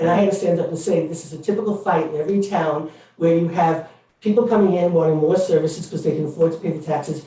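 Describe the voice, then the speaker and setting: Amid noticeable background noise and audible room echo, a man with a high-pitched voice speaks at a very fast pace with fairly even intonation. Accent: New York. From New York City. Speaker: member of the public speaking at a board meeting. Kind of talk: public comment at a meeting. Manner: halting, many fillers.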